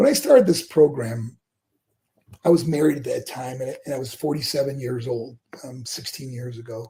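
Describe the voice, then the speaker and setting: Somewhat breathy and dark, mellow in tone, a man with an American accent speaks at a moderate pace in a medium pitch, with fairly even intonation and big swings in loudness. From western New York (Buffalo). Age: 60s. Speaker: former pro wrestler, motivational speaker. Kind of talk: interview.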